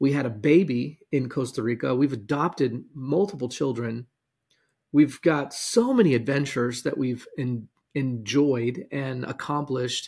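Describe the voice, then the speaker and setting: At a fairly slow pace, a man speaks somewhat breathily at medium pitch with ordinary pitch variation. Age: 40s. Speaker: podcast host and business coach. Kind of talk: motivational monologue.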